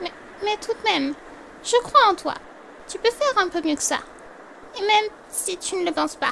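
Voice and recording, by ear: Delivered in a put-on character voice, the speech has a bright, sharp tone, vocal fry, lively intonation and a moderate pace. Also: woman, extremely high pitch for a woman.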